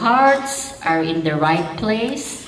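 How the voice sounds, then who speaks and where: Over noticeable background noise and audible room echo, a woman speaks with lively intonation. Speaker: politician. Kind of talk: speech reading from a text. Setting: gala stage with audience. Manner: read from notes, some halting restarts.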